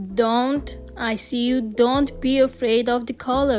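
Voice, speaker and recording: A woman with a non-native accent speaks in a high pitch with fairly even intonation while music plays in the background. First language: not English. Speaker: art content creator. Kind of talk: tutorial.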